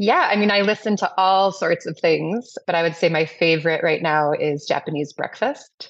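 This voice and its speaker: A woman talks in a plain, everyday voice, fairly low in pitch with ordinary pitch variation. She leaves hardly any pauses. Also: moderate pace. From Madison, Wisconsin, US Midwest. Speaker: restaurant owner. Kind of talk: interview.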